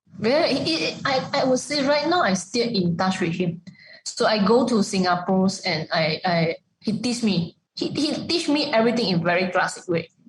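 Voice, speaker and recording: A somewhat breathy woman's voice makes very wide pitch swings while its loudness stays very even. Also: medium pitch for a woman, moderate pace. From Malaysia. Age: 30s. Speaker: executive chef. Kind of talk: interview. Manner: halting.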